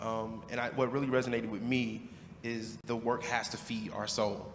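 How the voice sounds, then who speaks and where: Music plays in the background as a man with an American accent talks. His medium-pitched voice has audible room echo. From Chicago, west side. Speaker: youth worker. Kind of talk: audience comment.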